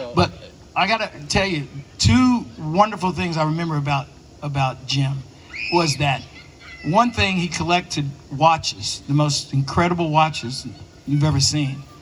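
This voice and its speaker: Speaking with an American accent, a man uses a fairly high pitch and lively intonation at a moderate pace. He takes long, frequent pauses, and background noise is noticeable. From East Tennessee, Smoky Mountains. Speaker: actor. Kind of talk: panel Q and A storytelling.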